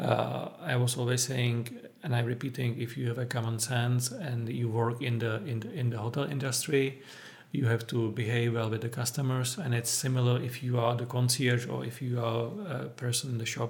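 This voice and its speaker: Speaking in a Czech accent, a man keeps a medium pitch and monotone, flat intonation at a moderate pace. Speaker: former hotel concierge, travel manager. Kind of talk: interview. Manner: halting.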